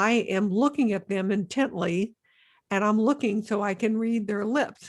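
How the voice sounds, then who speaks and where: On a very clean recording with a silent background, a woman speaks at a moderate pace with fairly high pitch and ordinary pitch variation. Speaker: nurse and podcast host. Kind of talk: interview podcast. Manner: careful enunciation.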